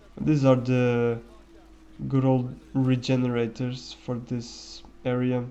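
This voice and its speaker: Very slow, monotone, flat male speech at a medium pitch, with audible room echo. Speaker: gaming commentator. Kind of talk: gameplay commentary. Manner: halting. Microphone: quiet microphone.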